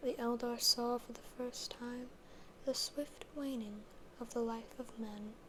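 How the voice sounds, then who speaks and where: The speech moves at a fairly slow pace. Noticeable background noise is present. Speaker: ASMR creator reading fantasy literature. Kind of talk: ASMR reading of book passages and commentary. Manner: soft, intimate, rambling.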